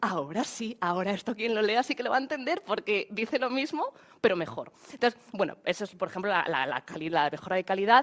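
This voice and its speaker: A woman talks at a fairly quick pace with hardly any pauses, her pitch fairly high. Her pitch swings very widely. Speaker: AI trainer. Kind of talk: webinar presentation. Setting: online webinar. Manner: fast; halting.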